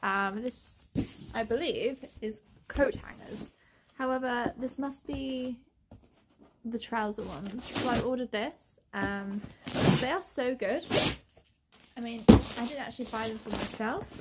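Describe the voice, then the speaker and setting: Through loud background noise, a woman speaks at a fairly slow pace in a fairly high pitch, with ordinary pitch variation and long, frequent pauses. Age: 20s. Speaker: governess, former teacher; vlogger. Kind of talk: casual talk to camera. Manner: chatty, upbeat. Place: home room. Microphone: phone near.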